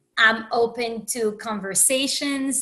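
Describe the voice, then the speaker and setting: Very slowly, a woman speaks in a bright, sharp tone at a fairly high pitch. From Haiti. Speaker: empowerment coach and podcast host. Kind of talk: podcast monologue. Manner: conversational with many fillers.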